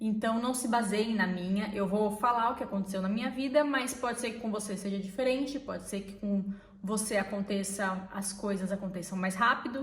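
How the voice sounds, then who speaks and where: Amid noticeable background noise and audible room echo, a woman with a medium pitch talks at a moderate pace with fairly even intonation and hardly any pauses. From Brazil. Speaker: vlogger. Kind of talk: casual chat.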